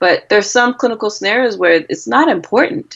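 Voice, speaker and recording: A woman is talking with an American accent. She keeps to a medium speed. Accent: Cameroonian accent, noticeable to US patients. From Cameroon. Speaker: physician. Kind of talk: interview.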